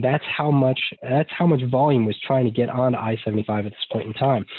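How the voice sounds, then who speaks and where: A man speaks at a fairly quick pace, his medium pitch moving with ordinary variation. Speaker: traffic engineer presenter. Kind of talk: webinar presentation. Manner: fast.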